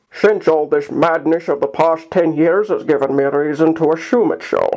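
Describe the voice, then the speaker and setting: Putting on a gruff character voice, a man talks in a high pitch at a moderate pace. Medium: read story. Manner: gruff, cautious.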